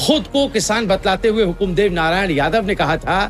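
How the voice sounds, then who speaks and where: Music plays behind a man speaking. His voice sits high in pitch and rises and falls in an ordinary way. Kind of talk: news voice-over narration.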